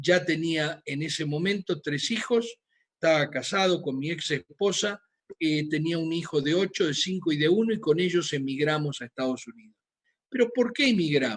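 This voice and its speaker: At a moderate pace, a man speaks in a high voice with a Rioplatense accent. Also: ordinary pitch variation. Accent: Argentine Rioplatense Spanish. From Argentina, Buenos Aires. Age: 60s. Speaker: physician. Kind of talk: lecture. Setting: video call.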